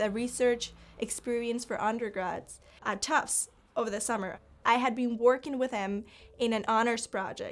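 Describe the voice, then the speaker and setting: In a Spanish accent, a woman speaks at a moderate pace and fairly high pitch with fairly even intonation, on a very clean recording with a silent background. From Cuba. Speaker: college student. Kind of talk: personal testimony interview. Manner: halting, with repetitions and fillers.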